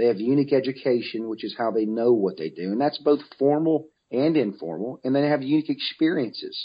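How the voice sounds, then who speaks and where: In an American accent, a man with a normal speaking voice and medium pitch talks at a fairly quick pace with lively intonation and hardly any pauses. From US South, Mobile, Alabama. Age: 40s. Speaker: author and business speaker. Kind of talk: interview.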